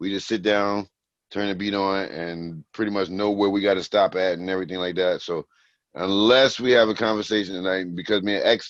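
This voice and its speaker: Against a quiet background, a man with an American accent speaks at a moderate pace in a very deep, low pitch. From New Jersey. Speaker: rapper. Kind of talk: casual interview.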